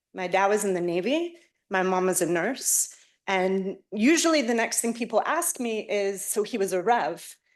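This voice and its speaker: With an American accent, a woman speaks at a moderate pace and medium pitch. Her intonation is lively against a quiet background. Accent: American accent in English and Hebrew. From United States. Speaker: professor. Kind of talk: lecture. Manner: hesitant, many filler sounds.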